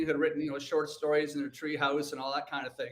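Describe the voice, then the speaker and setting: A man's animated, very fast speech with a Canadian accent and a fairly high pitch, over noticeable background noise. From Canada, Hamilton, Ontario. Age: 60s. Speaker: author. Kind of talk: interview.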